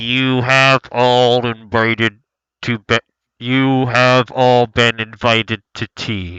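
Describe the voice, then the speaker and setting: In a put-on character voice, a man speaks very slowly at a medium pitch with a monotone, flat intonation. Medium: actual play. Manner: stilted and polite.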